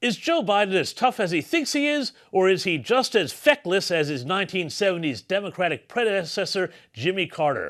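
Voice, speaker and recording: Against a quiet background, a man talks at a fairly quick pace in a high pitch, his voice swinging very widely in pitch. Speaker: political commentator. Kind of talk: political commentary narration. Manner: sarcastic.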